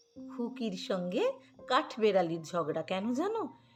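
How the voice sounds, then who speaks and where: Music plays behind a woman with a warm tone. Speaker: poetry reciter. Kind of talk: warm introduction to children. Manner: warm, affectionate.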